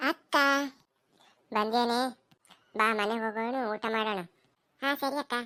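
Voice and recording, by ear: In a cartoonish character voice, a woman talks at a very slow pace with fairly high pitch and fairly even intonation, the sound dry and close with no echo.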